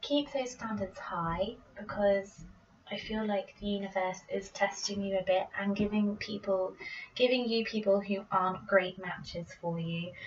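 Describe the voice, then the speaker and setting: Speaking with a British accent at a fairly slow pace, a woman keeps her intonation fairly even over noticeable background noise. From Britain. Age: 20s. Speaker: tarot reader. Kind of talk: casual tarot reading to camera. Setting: home recording, poor microphone.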